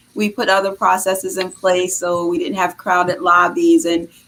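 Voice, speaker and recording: Over noticeable background noise, a woman with a Boston accent talks at a moderate pace in a medium pitch. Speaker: health care executive. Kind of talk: interview.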